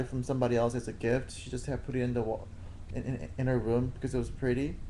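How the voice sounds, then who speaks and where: In a room with audible echo, a dark, mellow voice moves at a very fast pace with fairly even intonation. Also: man. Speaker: boyfriend. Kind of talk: casual chat. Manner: halting.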